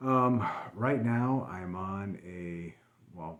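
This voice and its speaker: A man speaks with lively intonation. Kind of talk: casual talk to camera.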